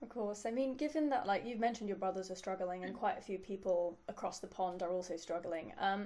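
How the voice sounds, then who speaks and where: Amid noticeable background noise, a woman with a London accent speaks fairly quickly at medium pitch, with ordinary pitch variation. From London, England. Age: 20s. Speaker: interviewer. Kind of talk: interview.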